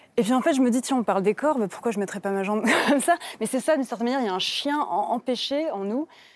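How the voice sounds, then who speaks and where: A woman's high-pitched, very fast speech with lively intonation over noticeable background noise. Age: 30s. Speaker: novelist. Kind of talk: TV literary talk show interview.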